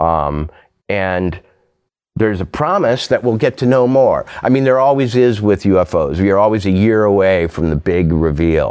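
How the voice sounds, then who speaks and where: With an American accent, a man talks at a moderate pace in a fairly low pitch, his intonation lively and his loudness very even, in a very clean recording with a silent background. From rural Minnesota. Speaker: novelist and essayist. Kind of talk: casual chat. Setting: studio. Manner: halting.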